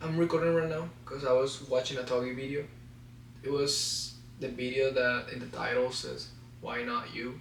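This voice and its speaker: A man with a non-native accent speaks fairly slowly in a monotone, flat delivery, with noticeable background noise and audible room echo. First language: Spanish. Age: 20s. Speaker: vlogger. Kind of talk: personal vlog to camera. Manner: halting, stutters.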